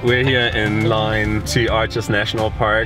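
Over clear music in the background, a man talks at a fairly slow pace in a dry sound with no echo. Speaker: travel vlogger. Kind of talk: casual vlog chat. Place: car. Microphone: phone near.

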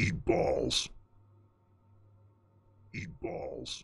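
A raspy, put-on character voice from a man. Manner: growling, silly.

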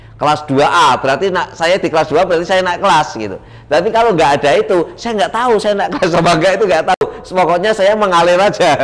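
At a very fast pace, a man talks in a high pitch with ordinary pitch variation. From Semarang, Central Java; Central Java, Indonesia. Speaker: political candidate; candidate. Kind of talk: interview. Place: studio. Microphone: lapel.

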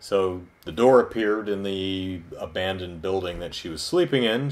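A man's fairly low voice carries lively intonation. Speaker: video reviewer. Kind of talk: review commentary. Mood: wry, amused retelling. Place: home room. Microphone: camera far.

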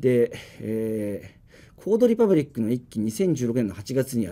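A man's dark, mellow tone with lively intonation. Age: 30s. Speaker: startup CEO; guest. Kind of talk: business presentation and Q&A. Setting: live stream studio without audience. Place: studio.

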